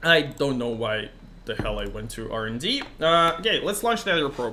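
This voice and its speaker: A man with a Russian accent at a moderate pace. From Russian-speaking country. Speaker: gaming streamer. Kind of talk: live game stream commentary. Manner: casual, many fillers.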